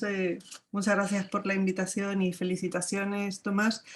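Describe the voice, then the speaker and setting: A woman speaks with a Spanish accent at a medium pitch. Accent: Spanish (Spain). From Spain. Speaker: academic. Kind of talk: panel discussion comment. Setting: video call.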